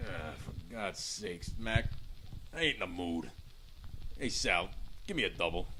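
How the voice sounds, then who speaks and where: A gruff, put-on character voice at a moderate pace, with long, frequent pauses and clear background noise. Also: man, very deep, low pitch for a man. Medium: audio drama. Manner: gruff, colloquial.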